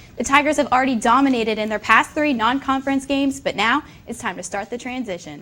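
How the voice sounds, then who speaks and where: At a very fast pace, a woman with an American accent projects a raised, bright, sharp voice, high in pitch with ordinary variation. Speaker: sports and news reporter, broadcast journalism student. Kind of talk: sports reporter broadcast.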